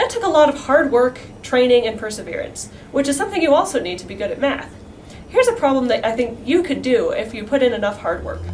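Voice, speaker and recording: Over noticeable background noise and audible room echo, a woman talks very fast at a high pitch, with very wide pitch swings and big swings in loudness. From New Mexico. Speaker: math student. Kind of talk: educational talk.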